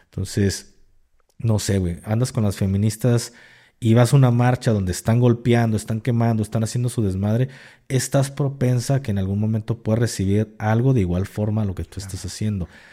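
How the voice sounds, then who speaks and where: A man's medium-pitched voice with a dark, mellow tone, fairly even intonation and a fairly quick pace, on a very clean recording with a silent background. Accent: Mexican. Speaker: podcast co-host, ex-military content creator. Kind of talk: casual chat.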